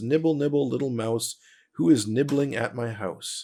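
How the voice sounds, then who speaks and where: A man's squeaky, put-on character voice at a medium pitch and a moderate pace. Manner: sing-song, nibbling rhyme.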